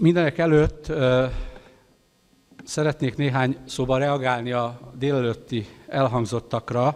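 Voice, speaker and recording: Speaking at a fairly slow pace with a Hungarian accent, a man uses a medium-pitched voice with ordinary pitch variation. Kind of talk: conference speech. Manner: halting in English.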